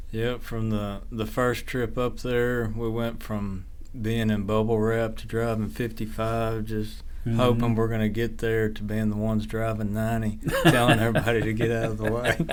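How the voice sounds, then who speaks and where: Against noticeable background noise, a man speaks at a moderate pace in a monotone, flat intonation. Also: medium pitch for a man. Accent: Texan. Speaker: rancher. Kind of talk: interview answer. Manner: soft-spoken.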